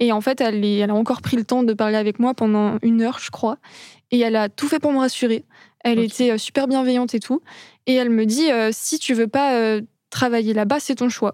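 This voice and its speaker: On a very clean recording with a silent background, the voice carries a dark, mellow tone. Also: woman. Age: 20s. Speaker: nursing student, former morgue worker. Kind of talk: interview, personal story. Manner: hesitant, many fillers.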